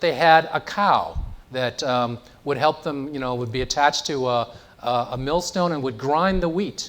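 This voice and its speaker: At a moderate pace, a man with a Chicago accent speaks in a fairly high pitch with ordinary pitch variation. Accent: Chicago American English. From US Midwest, Chicago south side. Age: 60s. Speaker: education innovator. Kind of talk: public lecture.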